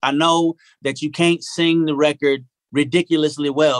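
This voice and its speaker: A man with a Southern US accent speaks at a fairly high pitch with fairly even intonation, recorded with a dry, close sound and no echo. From US South, Arkansas. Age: 40s. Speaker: singer-songwriter. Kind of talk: casual interview chat. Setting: home recording studio, remote.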